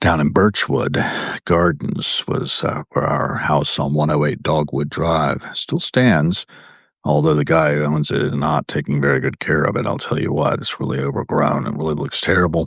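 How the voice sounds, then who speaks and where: Very deep, low pitch from a man with an American accent, ordinary pitch variation and a moderate pace. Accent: hard-to-place Virginia. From US South, Williamsburg, Virginia. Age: 60s. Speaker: live video host. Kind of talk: casual live-stream monologue. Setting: home live video indoors. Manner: rambling with fillers.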